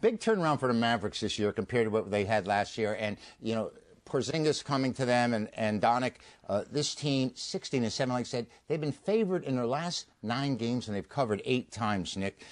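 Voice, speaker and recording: Here is a man with an unremarkable speaking voice at medium pitch. He talks at a fairly quick pace with ordinary pitch variation. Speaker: sports handicapper. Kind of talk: sports radio talk. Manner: jokey.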